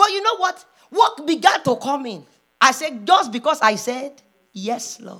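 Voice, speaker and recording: A woman's raised, projected voice, high in pitch, with an animated tone, a fairly slow pace, big swings in loudness and very wide pitch swings. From Nigeria. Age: 40s. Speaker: preacher. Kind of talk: sermon; spoken prayer. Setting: church.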